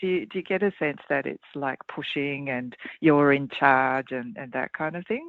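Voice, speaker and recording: At a moderate pace and with ordinary pitch variation, a woman talks in an Australian accent. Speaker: leadership consultant and author. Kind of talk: interview.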